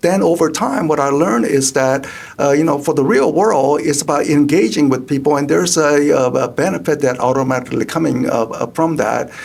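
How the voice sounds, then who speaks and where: This man speaks at a fairly quick pace with a Korean accent, his pitch fairly high and his loudness very even. There is noticeable background noise. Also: ordinary pitch variation. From South Korea. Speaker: economist. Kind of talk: interview. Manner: halting, many fillers.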